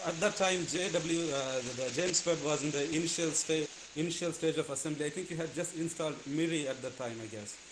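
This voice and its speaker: Over noticeable background noise, the speaker moves at a fairly quick pace with hardly any pauses and ordinary pitch variation. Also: man, fairly high pitch for a man. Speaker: physicist asking questions. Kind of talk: audience Q&A. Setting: video call. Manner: halting. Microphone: video call.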